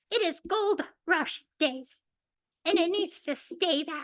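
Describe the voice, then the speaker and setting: Extremely high pitch from a woman at a very slow pace, with ordinary pitch variation. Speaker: public commenter. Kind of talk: public comment at council meeting.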